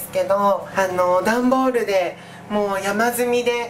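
Noticeable background noise surrounds a woman's voice. She speaks at a fairly slow pace with fairly even intonation. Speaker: vlogger. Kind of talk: casual vlog chat. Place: kitchen. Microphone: phone near.

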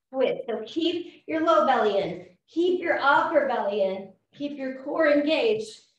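Audible room echo surrounds this recording of a woman. She speaks at a very slow pace in a high pitch. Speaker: fitness instructor. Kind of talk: workout class cueing. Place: home room. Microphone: camera far.

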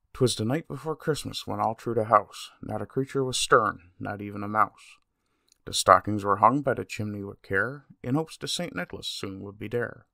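Recorded very cleanly against a silent background with a dry, close sound and no echo, a man with a Newfoundland accent speaks at a moderate pace while his loudness swings a lot. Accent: Newfoundland English, lightly emphasized. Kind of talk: poetry reading.

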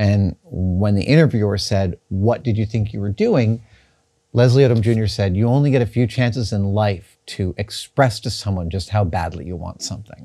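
A man speaks with a fairly low pitch and ordinary pitch variation. The background is quiet. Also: moderate pace. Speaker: host. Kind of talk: casual unboxing commentary. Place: workshop. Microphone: lapel.

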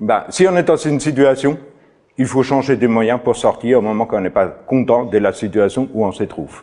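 A man at a moderate pace, with a dark, mellow tone and ordinary pitch variation, over a quiet background. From outside France. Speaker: farmer and trainer. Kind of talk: lecture. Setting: stage with audience. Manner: halting. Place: meeting room.

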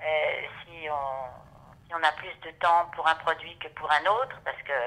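This bright, sharp voice moves at a fairly slow pace with ordinary pitch variation, big swings in loudness, and long, frequent pauses. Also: woman. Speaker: voice actress. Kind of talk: interview. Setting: at her home. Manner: hesitant.

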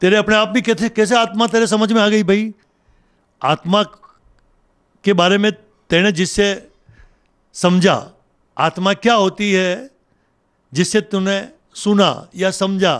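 With long, frequent pauses, a man speaks in a high pitch, keeping fairly even intonation and very even loudness. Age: 60s. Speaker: journalist and local news channel host. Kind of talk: monologue talk to camera.

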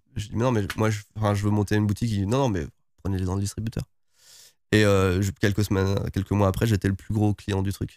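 A man's fairly low voice at a fairly quick pace, very cleanly recorded against a silent background, with a dry, close sound and no echo. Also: fairly even intonation. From France, various regions (Lorraine, Oise, Creuse). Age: 40s. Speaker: YouTuber and entrepreneur. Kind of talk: interview. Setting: guest's premises in Tokyo. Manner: hesitant, many repetitions.

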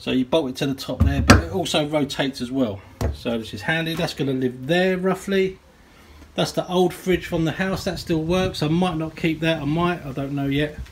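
The speech moves at a moderate pace with ordinary pitch variation. Light background noise can be heard. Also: man. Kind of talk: casual vlog chat. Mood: relaxed, pleased. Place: garage. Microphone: phone near.

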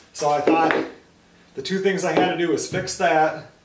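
A male voice at a moderate pace, with ordinary pitch variation, audible room echo, and light background noise. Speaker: woodworker vlogger. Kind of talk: casual vlog chat. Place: workshop. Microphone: camera far.

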